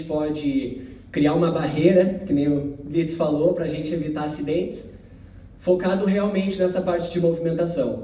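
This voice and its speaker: With a southern Brazilian accent, a man speaks at a moderate pace in a high pitch with ordinary pitch variation, amid noticeable background noise and audible room echo. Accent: gaúcho (southern Brazilian). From southern Brazil (Porto Alegre, Rio Grande do Sul). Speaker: company representative presenting safety technology. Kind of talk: corporate presentation. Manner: conversational, many filler words.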